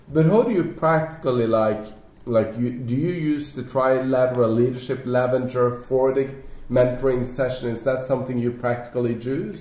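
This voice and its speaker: With a Norwegian accent, a man speaks at a moderate pace and medium pitch with fairly even intonation, and audible room echo surrounds him. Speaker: network marketing leader. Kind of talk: panel discussion.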